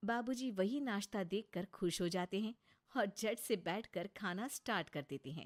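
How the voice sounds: A woman at a medium pitch and moderate pace, with ordinary pitch variation and a dry, close sound with no echo.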